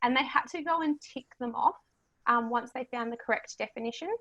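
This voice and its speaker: A woman's bright, sharp, high-pitched voice with an Australian accent, dry and close with no echo. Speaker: history teacher. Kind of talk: presentation.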